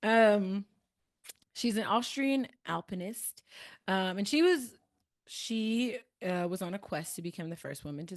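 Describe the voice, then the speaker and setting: Against a quiet background, a woman with a Midwestern accent talks at a medium pitch. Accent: American Midwest. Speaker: podcast host discussing a book. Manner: casual, many filler words.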